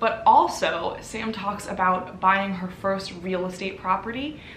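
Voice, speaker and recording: Woman's voice, audible room echo, light background noise. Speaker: channel host. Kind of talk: casual vlog intro. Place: home room. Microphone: camera far.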